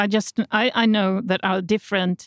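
A woman with a Swedish accent speaks at a moderate pace in a dry, close sound with no echo. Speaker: healthcare journalist. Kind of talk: interview. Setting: studio. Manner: halting.

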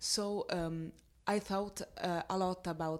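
On a very clean recording with a silent background, a woman talks. Her pitch is medium and her intonation fairly even. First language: Italian. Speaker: actress. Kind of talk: interview. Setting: film festival. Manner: halting.

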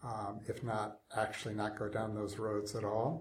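A man with an unremarkable speaking voice talks at medium pitch and a fairly slow pace. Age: 60s. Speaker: technology ethicist. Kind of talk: interview.

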